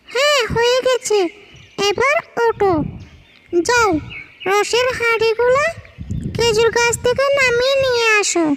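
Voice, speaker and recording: A cartoonish character voice from a woman at an extremely high pitch, very slow pace and very even loudness. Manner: brisk, commanding.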